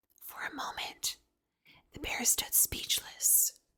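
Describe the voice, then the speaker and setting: Whispering in a calm tone, the speaker goes at a very slow pace. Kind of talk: whispered bedtime story reading. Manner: whispered, calm, slow.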